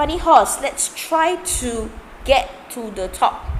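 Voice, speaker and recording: A woman with a Singaporean accent over noticeable background noise. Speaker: maths tutor. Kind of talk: live online tutorial. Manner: casual, chatty.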